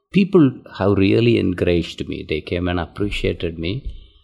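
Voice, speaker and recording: Someone talks at a moderate pace in an Indian accent. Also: man. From southern India. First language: Tamil. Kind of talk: interview.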